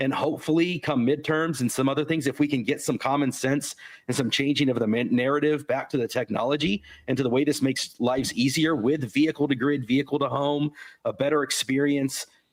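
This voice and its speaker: This man talks at a fairly quick clip in an American accent, his pitch fairly high. His loudness stays very even throughout. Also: fairly even intonation. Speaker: podcast co-host. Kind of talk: casual chat. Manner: halting.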